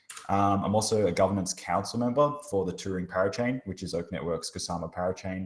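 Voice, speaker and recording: Talking at a fairly quick pace with an Australian accent, a man keeps his intonation fairly even. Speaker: blockchain researcher and hackathon mentor. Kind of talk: workshop presentation. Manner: casual, many filler words.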